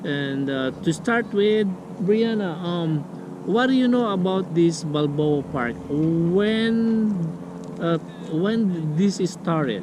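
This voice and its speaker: Amid noticeable background noise and audible room echo, a man with a non-native accent speaks very slowly in a high voice with lively intonation. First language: not English. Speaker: vlogger. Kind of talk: casual vlog talk. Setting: outdoors. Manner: halting.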